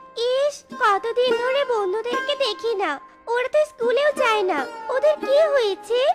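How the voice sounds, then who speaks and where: A cartoonish character voice speaks in an extremely high pitch at a moderate pace. Faint music plays in the background. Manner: caring.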